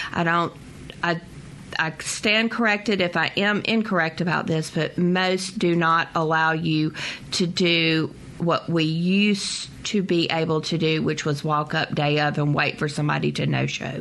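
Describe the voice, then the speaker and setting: A woman with a Southern US accent speaks at a fairly slow pace in a fairly low pitch, her intonation fairly even and her loudness very even. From US South. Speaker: travel consultant. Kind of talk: radio interview.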